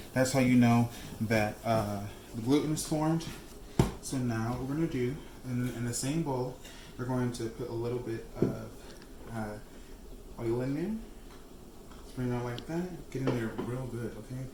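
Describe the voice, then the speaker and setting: A man speaks in a medium pitch with fairly even intonation and long, frequent pauses. Room echo is audible, and background noise is noticeable. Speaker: cooking channel host. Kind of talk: cooking tutorial. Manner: fast; casual, chatty with fillers.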